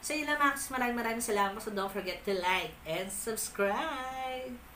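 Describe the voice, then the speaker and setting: A woman at a fairly quick pace and fairly high pitch, with ordinary pitch variation, audible room echo and noticeable background noise. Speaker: unboxing vlogger. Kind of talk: casual unboxing vlog. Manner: loud.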